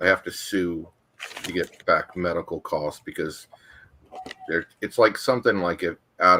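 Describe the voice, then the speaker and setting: A man talking at a moderate pace. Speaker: panelist. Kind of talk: casual chat.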